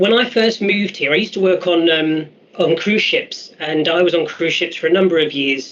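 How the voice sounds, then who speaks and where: With a London accent, the speaker keeps a moderate pace amid noticeable background noise. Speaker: youth employment mentor. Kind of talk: virtual job fair presentation. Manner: hesitant, many fillers.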